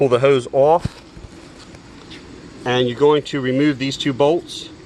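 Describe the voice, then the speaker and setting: Fairly high pitch and fairly even intonation from a man, with noticeable background noise. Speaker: DIY auto repair video maker. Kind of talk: tutorial.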